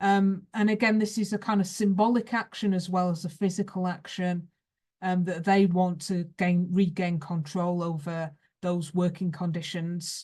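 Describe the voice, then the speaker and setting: In a Lancashire accent, a woman speaks at a moderate pace with a dark, mellow, somewhat breathy tone and fairly even intonation over a quiet background. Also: medium pitch for a woman. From northern England, Rochdale, Lancashire. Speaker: history professor. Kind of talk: lecture. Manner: hesitant, many fillers.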